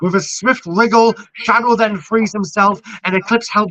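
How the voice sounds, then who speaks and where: At a moderate pace, a man uses a raised, projected voice at a high pitch. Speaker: online wrestling show host and commentator. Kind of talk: reading aloud a scripted match recap. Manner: loud; animated.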